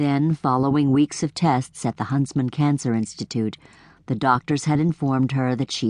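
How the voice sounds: Fairly even intonation in a natural reading voice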